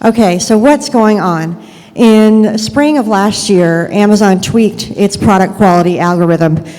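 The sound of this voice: Soft-spoken and slightly mellow, a woman talks at a fairly slow pace with ordinary pitch variation and audible room echo. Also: medium pitch for a woman.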